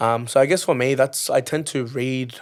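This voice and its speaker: A man with an Australian accent. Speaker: singer. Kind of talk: interview.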